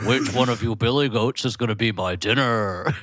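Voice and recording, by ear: Using a put-on character voice at a medium pitch, a man speaks at a moderate pace against clear background noise.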